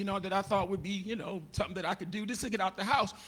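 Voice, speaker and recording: In an animated tone, a man speaks with a raised, projected voice. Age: 60s. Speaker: comedian and pastor. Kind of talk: stand-up.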